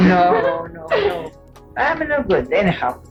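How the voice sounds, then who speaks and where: A woman's voice with music in the background. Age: 80s+. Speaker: grandmother interviewee. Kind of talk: family oral history interview.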